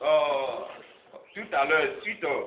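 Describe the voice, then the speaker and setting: A man talks at a very slow pace. Noticeable background noise and audible room echo are present. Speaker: NGO president. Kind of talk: public speech. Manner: halting.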